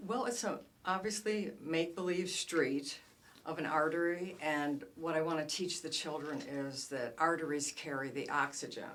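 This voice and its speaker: A woman's very deep, low voice with lively intonation and audible room echo. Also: moderate pace. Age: 60s. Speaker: children's book author. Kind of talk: casual interview. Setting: studio.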